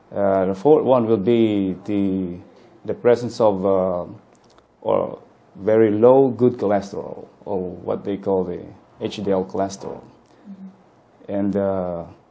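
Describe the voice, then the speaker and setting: A man's fairly low voice, very slow in pace, with fairly even intonation. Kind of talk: interview answer. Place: office. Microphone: lapel.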